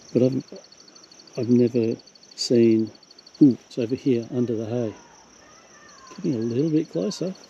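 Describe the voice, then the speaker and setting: A man's medium-pitched voice at a moderate pace, with ordinary pitch variation, long, frequent pauses, and noticeable background noise. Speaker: wildlife vlogger. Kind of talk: casual narration to camera. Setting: outdoors.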